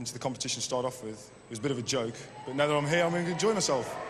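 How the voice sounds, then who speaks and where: Talking at a very fast pace, a man with a fairly high pitch and ordinary pitch variation swings widely in loudness amid audible room echo and noticeable background noise. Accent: West Midlands. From West Midlands, Kidderminster. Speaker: game show contestant, army fitness instructor. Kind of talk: game show interview. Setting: indoor arena with audience.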